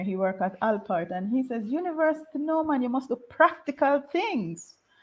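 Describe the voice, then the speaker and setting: A high-pitched woman talks at a fairly quick pace with lively intonation. There is noticeable background noise. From Jamaica, Saint Elizabeth parish. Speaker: university professor. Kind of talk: interview.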